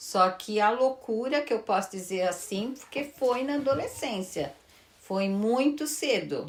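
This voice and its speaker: This is a woman speaking. Her pace is fairly slow. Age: 60s. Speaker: retired teacher and pastry cook. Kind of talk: interview. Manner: hesitant.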